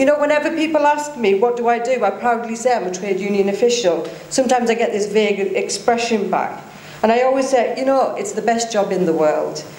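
Audible room echo surrounds a woman who speaks at a fairly quick pace. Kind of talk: speech. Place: hall. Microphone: podium.

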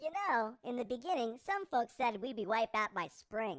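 A cartoonish character voice, fairly high in pitch, at a moderate pace. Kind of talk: public service announcement parody. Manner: chipper, salesman-like, smug.

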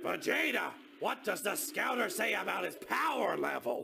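A raspy, high-pitched put-on character voice at a moderate pace. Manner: childish, dopey, excitable.

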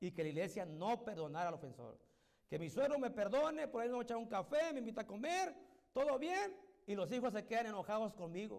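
Against a quiet background, a high-pitched man speaks at a fairly quick pace with very wide pitch swings. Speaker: evangelical pastor. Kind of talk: sermon. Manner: stutters when preaching. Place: church. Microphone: handheld.

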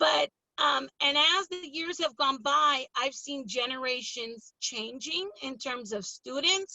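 Speaking at a fairly slow pace, a woman uses a high pitch and an animated tone with an American accent. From California, Pittsburg (Bay Area). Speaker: school board candidate. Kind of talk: interview. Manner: loud, animated.

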